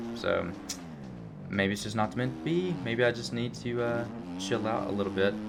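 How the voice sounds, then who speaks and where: With music in the background and audible room echo, a man with a fairly low pitch speaks with long, frequent pauses. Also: ordinary pitch variation, moderate pace. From Alabama, US South. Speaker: gaming youtuber. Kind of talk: gameplay commentary. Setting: indoors at home. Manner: casual, many fillers.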